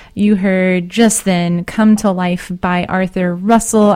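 Against noticeable background noise, a woman speaks at a very slow pace. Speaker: community radio DJ. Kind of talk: radio DJ talk between songs. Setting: radio studio. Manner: loud; halting, many fillers.

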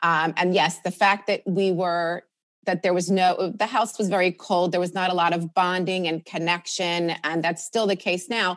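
A woman speaks at a moderate pace in a fairly low, monotone voice with flat intonation. Her loudness stays very even against a quiet background. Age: 50s. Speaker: author. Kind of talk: interview. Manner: halting.

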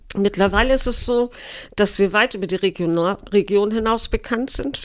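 Speaking at a moderate pace, a woman with a northern German accent shows ordinary pitch variation. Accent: Low German tinge. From Eckernförde, Schleswig-Holstein. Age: 60s. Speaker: city tour guide. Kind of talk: casual interview.

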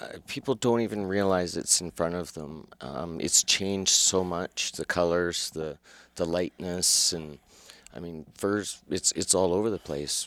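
This man talks at a fairly slow pace. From Calgary, Alberta, Canada. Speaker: fur shop co-owner and hunter. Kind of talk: casual interview.

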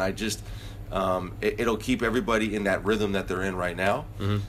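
With a normal speaking voice, a man talks at a fairly quick pace, fairly low in pitch, with fairly even intonation. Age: 40s. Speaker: basketball head coach. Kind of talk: casual interview.

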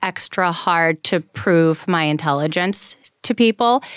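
At a fairly slow pace, a woman talks in an ordinary speaking voice with ordinary pitch variation, sounding dry and close with no echo on a very clean recording with a silent background. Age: 30s. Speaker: wealth manager and mortgage specialist. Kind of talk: interview. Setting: radio studio.

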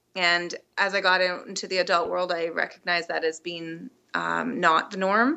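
Here is a woman with a Canadian accent and a plain, everyday voice. Her pitch is fairly low, her intonation fairly even, and her pace moderate. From British Columbia, Canada. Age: 30s. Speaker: podcast guest, fitness challenge participant. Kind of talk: casual interview. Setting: Skype call.

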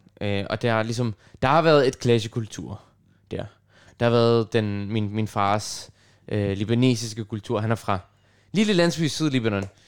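The pace is fairly slow, with long, frequent pauses and ordinary pitch variation. The recording is very clean, with a silent background. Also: man, medium pitch for a man. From Copenhagen, Denmark (Nørrebro). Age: 20s. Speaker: radio host and pianist. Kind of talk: casual chat. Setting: student's room at a music dormitory.

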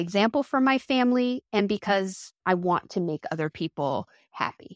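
In an American accent, a woman with an ordinary speaking voice and medium pitch talks at a moderate pace, in a dry, close sound with no echo on a very clean recording with a silent background. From New Jersey, US. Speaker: home baker and food writer. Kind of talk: interview.

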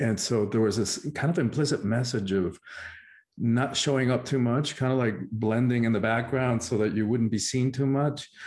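The speaker is a man with a Spanish accent and a medium pitch. He talks at a moderate pace with fairly even intonation. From Cuba. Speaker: spiritual teacher and life coach. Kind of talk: interview conversation.

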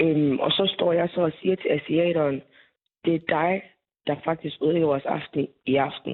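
A woman speaks at a moderate pace with a very deep, low pitch, fairly even intonation and very even loudness. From Aarhus, Denmark. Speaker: young woman turned away at a nightclub door. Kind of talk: phone interview. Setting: phone call.

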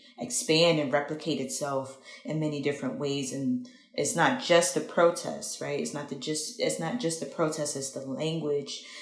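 Amid audible room echo, a woman with an American accent speaks with a very deep, low pitch and ordinary pitch variation. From Philadelphia, US. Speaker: activist and community organizer. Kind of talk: interview.

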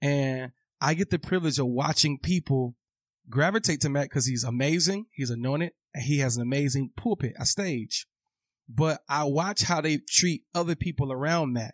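A man with an American accent speaks in an ordinary speaking voice at a moderate pace, his pitch fairly high with ordinary variation, in a dry, close sound with no echo against a quiet background. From Atlanta, US South. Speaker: minister. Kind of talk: casual interview.

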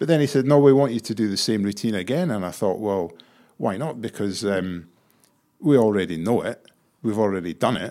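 Fairly low-pitched and dark, mellow in tone, a man talks at a fairly quick pace with lively intonation. The recording is very clean and the background silent. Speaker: staff writer learning comedy. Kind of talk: casual interview chat. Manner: hesitant, filler-heavy.

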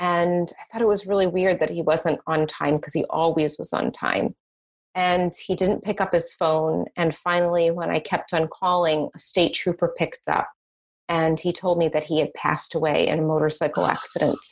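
A plain, everyday voice at a moderate pace with fairly even intonation. The background is quiet. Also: woman, fairly low pitch for a woman. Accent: American. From Boston, US. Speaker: psychic medium. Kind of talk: interview, personal story.

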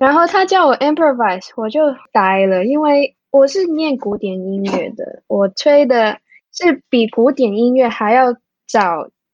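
The speaker has a Cantonese accent and talks at a fairly slow pace. The pitch swings very widely. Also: woman, high pitch for a woman. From Hong Kong. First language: Cantonese (speaking Chinese). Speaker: music therapist. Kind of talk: interview. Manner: halting.

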